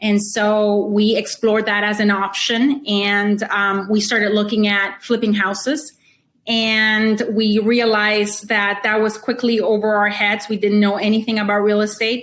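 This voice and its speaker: A woman with a Spanish accent speaks at a fairly high pitch and a fairly slow pace, her loudness very even, her intonation flat and monotone, and she hardly pauses at all. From Honduras. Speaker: real estate investor. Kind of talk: interview.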